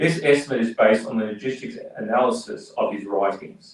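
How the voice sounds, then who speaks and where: Speaking fairly quickly with a strong Australian accent, a man uses a medium pitch and ordinary pitch variation. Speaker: politician. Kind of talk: speech at community event. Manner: halting, with fillers and repetitions.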